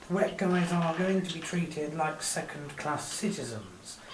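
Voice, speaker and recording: Against noticeable background noise, the talking moves at a fairly slow pace. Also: woman. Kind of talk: casual sports review commentary.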